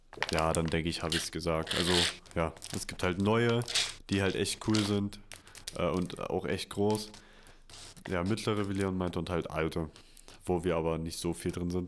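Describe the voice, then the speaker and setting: A man with a very deep, low voice speaks at a moderate pace, leaving long, frequent pauses. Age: young. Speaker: podcast co-host, university student. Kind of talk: casual chat. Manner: animated.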